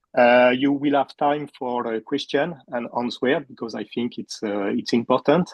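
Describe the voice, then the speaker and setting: A man of medium pitch with a French accent. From France. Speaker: puppeteer and teacher. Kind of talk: talk to online audience. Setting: video call. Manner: halting.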